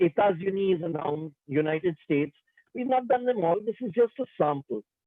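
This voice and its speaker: A man talks at a moderate pace. His voice is high in pitch, with lively intonation. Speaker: French language teacher. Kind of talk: lecture.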